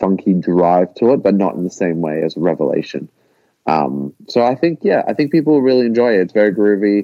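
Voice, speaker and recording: A man speaks with an Australian accent. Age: 20s. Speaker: rock musician. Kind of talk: casual interview.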